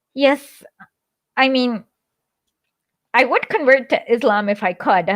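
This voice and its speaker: At a moderate pace, a woman talks with a Kannada accent, the sound dry and close with no echo. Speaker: live stream show host. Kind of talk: casual chat. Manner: halting, many fillers.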